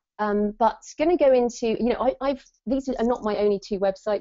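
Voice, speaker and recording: Here a woman has an unremarkable speaking voice with ordinary pitch variation. She keeps a moderate pace. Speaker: author and webinar host. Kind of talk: webinar presentation. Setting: online webinar.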